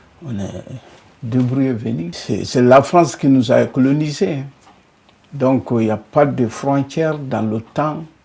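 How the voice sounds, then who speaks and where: A man with a medium pitch speaks at a very slow pace, leaving long, frequent pauses. His tone is dark and mellow. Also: ordinary pitch variation. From Mali. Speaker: immigrant worker, former farmer. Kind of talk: interview testimony.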